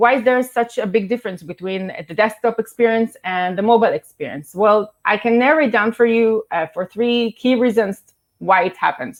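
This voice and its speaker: Lively in intonation, a woman with a fairly high pitch speaks with a non-native accent. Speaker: startup co-founder and marketing executive. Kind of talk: conference presentation. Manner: fast.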